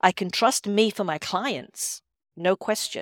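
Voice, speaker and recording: A woman with an Edinburgh accent speaks at a very slow pace, recorded very cleanly with a silent background and a dry, close sound with no echo. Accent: Scottish (Edinburgh). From Scotland, Edinburgh. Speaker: intuitive healer and coach. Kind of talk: podcast interview.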